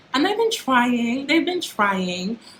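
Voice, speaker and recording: A woman is heard over noticeable background noise. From UK. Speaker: YouTuber. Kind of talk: casual vlog monologue.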